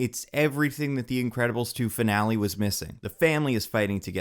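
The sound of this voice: An unforced reading voice carries the text.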